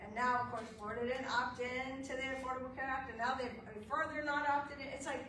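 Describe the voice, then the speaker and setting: A woman's high, raised, projected voice at a very fast pace, with audible room echo and noticeable background noise. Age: 60s. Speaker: legal aid lawyer. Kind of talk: lecture. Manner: animated.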